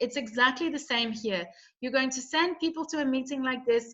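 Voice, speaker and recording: A woman projects her voice loudly, high in pitch and bright, sharp in tone. Her intonation is lively. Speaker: network marketing presenter. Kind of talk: sales pitch. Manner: animated.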